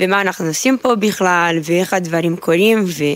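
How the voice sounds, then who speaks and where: A woman speaks with a Brazilian accent at a moderate pace, her pitch fairly low and her intonation fairly even. Background noise is noticeable. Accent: Brazilian Portuguese accent in Hebrew. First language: Portuguese (speaking Hebrew). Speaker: army sergeant, new immigrant. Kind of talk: interview. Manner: halting.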